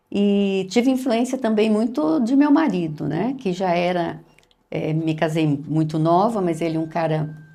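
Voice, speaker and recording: A woman speaks at a fairly slow pace with a fairly low pitch and a dark, mellow tone. Audible room echo surrounds her voice. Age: 60s. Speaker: retired history professor and writer. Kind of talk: interview.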